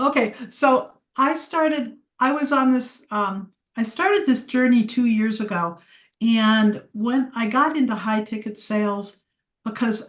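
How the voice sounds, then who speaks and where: This woman's voice is somewhat breathy and fairly high. Its pitch moves in an ordinary way. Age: 70s. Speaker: salesperson in training. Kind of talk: personal testimony. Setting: group video call.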